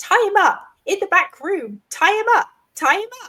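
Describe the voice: The pitch sits extremely high. It belongs to a put-on character voice. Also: moderate pace.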